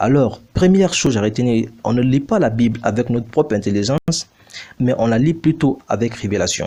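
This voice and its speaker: Using lively intonation at a moderate pace, a man with a non-native accent speaks at a medium pitch in a dark, mellow tone. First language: not French (speaking French). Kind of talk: bible teaching video. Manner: formal.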